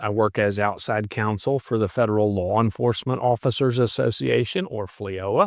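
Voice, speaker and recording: With a West Virginia accent, a man speaks at a moderate pace in a medium pitch and fairly even intonation, in a very clean recording with a silent background and a dry, close sound with no echo. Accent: West Virginia accent, noticeable. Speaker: retired federal agent and law professor. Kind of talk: podcast interview.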